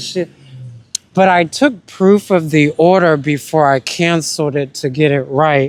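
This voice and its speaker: In an American accent, a man talks with pitch that varies in an ordinary way. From US South, South Carolina. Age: 30s. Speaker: musician vlogger. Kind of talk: casual monologue. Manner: slow.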